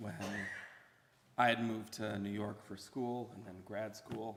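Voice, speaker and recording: A man's monotone, flat delivery with vocal fry, at a moderate pace, with audible room echo. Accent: American. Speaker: son giving eulogy. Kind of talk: eulogy. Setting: memorial service at podium.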